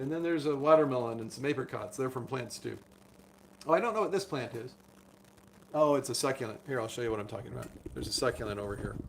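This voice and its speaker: Over noticeable background noise, a man with a medium-pitched voice and ordinary pitch variation speaks at a very fast pace broken by long, frequent pauses. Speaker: doctor. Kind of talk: live stream chat.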